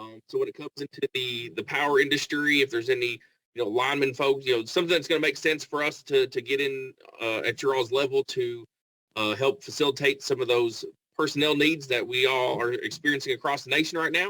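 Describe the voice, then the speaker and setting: A man talks at a very fast pace with a bright, sharp tone and a fairly high pitch, in a Kentucky accent. The sound is dry and close, with no echo. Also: ordinary pitch variation. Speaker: staffing agency representative. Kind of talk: networking pitch.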